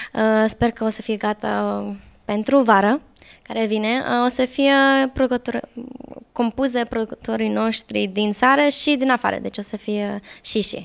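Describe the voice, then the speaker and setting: A woman with an Australian accent at a fairly slow pace, her fairly high pitch showing ordinary variation, against a quiet background. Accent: Australian-English accent in Romanian. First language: English (speaking Romanian). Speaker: pop singer; interviewee. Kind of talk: interview. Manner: halting. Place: home room. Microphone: handheld.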